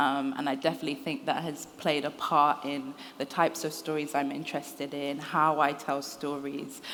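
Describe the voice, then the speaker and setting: A woman in a London accent, very deep and low in pitch, with monotone, flat intonation. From London, England. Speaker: writer. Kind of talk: interview. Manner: hesitant, many fillers.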